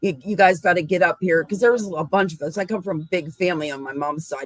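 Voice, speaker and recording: Her fairly low-pitched voice is an ordinary speaking voice, and this woman shows ordinary pitch variation. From western Pennsylvania. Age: 60s. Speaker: cryptid researcher. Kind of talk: casual chat.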